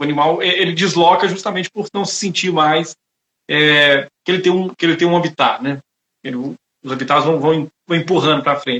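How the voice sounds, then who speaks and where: In a fairly high voice, a man speaks at a moderate pace with fairly even intonation. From Brazil, Itabira (Minas Gerais). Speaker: lawyer, webinar host. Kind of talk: live online talk, interview. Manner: halting, many fillers.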